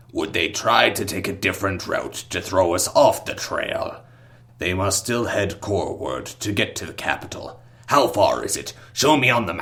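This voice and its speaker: At a medium pitch and moderate speed, the man talks in a put-on character voice. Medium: read story. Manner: seething, chittering.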